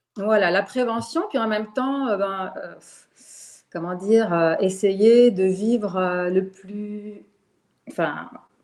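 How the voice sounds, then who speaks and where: Speaking at a very slow pace with long, frequent pauses, a woman uses a medium pitch and ordinary pitch variation. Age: 60s. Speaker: retired teacher. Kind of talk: testimony. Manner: halting.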